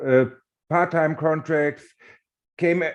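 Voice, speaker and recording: A man with a German accent speaks at a fairly high pitch with fairly even intonation. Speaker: warehouse worker and union organizer. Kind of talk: panel discussion. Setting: webinar video call. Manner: halting.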